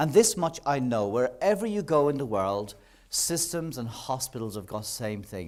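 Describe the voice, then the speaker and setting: This man talks at a moderate pace in a medium pitch with an Irish accent, his pitch swinging very widely. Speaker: nursing professor. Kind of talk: public lecture.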